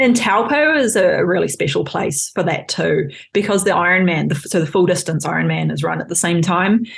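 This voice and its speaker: Against noticeable background noise, a woman with an American accent talks at a fairly quick pace with hardly any pauses. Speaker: physiotherapist and researcher. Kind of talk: podcast interview.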